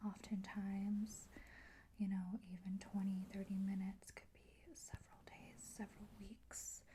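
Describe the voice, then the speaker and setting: A woman whispers, soft-spoken and somewhat breathy, at a fairly slow pace. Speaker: ASMR content creator. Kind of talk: whispered ASMR reading of facts. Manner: whispered, soft, relaxing.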